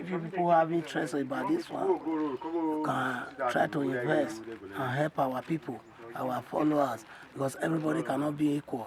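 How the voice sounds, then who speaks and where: This man's fairly high voice moves at a moderate speed with ordinary pitch variation, and noticeable noise runs underneath. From Nigeria, Edo State. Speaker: community elder. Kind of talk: advice to viewers.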